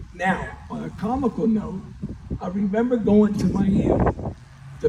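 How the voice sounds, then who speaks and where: A man with an American accent at a fairly slow pace, over noticeable background noise. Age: 60s. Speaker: former high school baseball player. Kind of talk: banquet speech.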